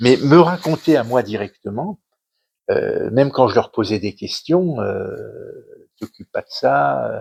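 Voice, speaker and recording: A man speaks at a very slow pace with long, frequent pauses and big swings in loudness, in a dry, close sound with no echo. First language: Yiddish (speaking French). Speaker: author, son of a Holocaust survivor. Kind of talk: interview talk at a cultural centre conference. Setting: conference hall with audience. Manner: halting, many hesitations and repetitions.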